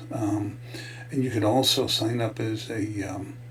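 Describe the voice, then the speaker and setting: A man's medium-pitched voice at a fairly slow pace with fairly even intonation, over noticeable background noise. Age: 60s. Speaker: network marketing affiliate. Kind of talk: casual talk to camera, product promotion. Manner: hesitant, many filler words.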